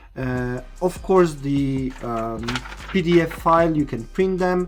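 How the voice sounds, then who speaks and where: With a non-native accent, a man with a fairly high pitch speaks at a very slow pace. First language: not English. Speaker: RC car product presenter. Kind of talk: tutorial. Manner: hesitant, many fillers.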